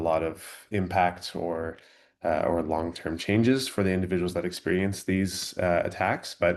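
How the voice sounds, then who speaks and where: A man's very deep, low voice with fairly even intonation against a quiet background. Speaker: graduate student presenter. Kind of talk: academic webinar presentation.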